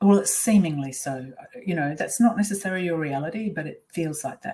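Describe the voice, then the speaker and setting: A woman with an Australian accent talks at a fairly quick pace, her fairly low voice carrying lively intonation. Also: big swings in loudness. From Australia (Perth). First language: Swiss German. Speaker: life coach. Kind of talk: webinar presentation.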